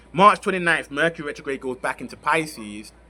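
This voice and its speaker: This man talks at a fairly quick pace, his fairly high pitch carrying lively intonation. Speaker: astrologer. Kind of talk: astrology forecast talk. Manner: fast.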